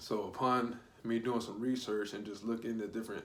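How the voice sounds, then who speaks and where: A man talks at a fairly quick pace, and the room echo is audible. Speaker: spiritual YouTuber. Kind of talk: casual vlog monologue. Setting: at home, someone sleeping nearby. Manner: quieter than usual; casual, animated.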